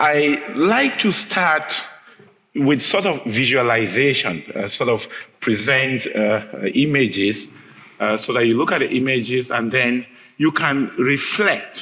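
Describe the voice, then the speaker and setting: A fairly slow voice with an African accent, audible room echo and noticeable background noise. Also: man, medium pitch for a man, lively intonation, very even loudness. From Cameroon. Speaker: history professor. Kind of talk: lecture. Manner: hesitant, many filler sounds.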